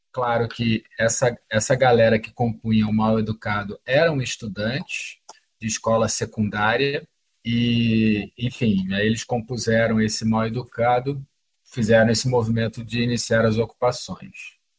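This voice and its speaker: A man talks at a moderate pace with a medium pitch. His voice is somewhat breathy and his intonation fairly even. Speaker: documentary filmmaker and activist. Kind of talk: interview answers. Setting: online call.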